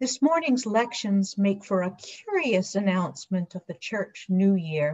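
With lively intonation and a somewhat breathy quality, a woman at medium pitch speaks at a fairly slow pace against a quiet background. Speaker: deacon giving a sermon. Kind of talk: church sermon delivered to a congregation. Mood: earnest, solemn. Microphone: webcam.

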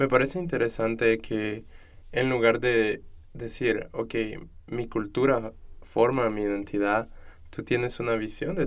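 At a fairly slow pace, a man speaks in a plain, everyday voice with fairly even intonation. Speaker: student podcast host. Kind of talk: interview conversation. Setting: studio.

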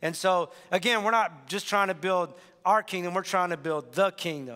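Fairly even intonation marks this man's fairly quick speech. The background is quiet. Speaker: pastor. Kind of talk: sermon announcements. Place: church. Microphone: headset.

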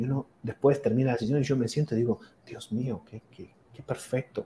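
There is light background noise as a man talks at a fairly quick pace with ordinary pitch variation. His tone is dark, mellow and somewhat breathy. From Argentina, Mar del Plata; Argentina. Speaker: physician and akashic records reader; akashic records reader. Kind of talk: interview. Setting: video call. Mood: enthusiastic, fascinated. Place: home room. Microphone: video call.

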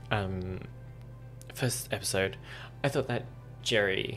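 Faint music plays in the background as a man speaks at a fairly slow pace and a fairly low pitch. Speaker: reaction video host. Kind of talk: casual commentary on a TV episode. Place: home room. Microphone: headset.

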